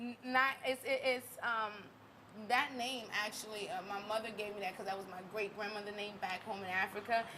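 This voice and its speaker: A woman's fairly high voice in a slight Southern US accent, at a moderate pace with fairly even intonation, over noticeable background noise. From US South, Louisiana. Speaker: singer. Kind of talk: interview chat. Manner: halting.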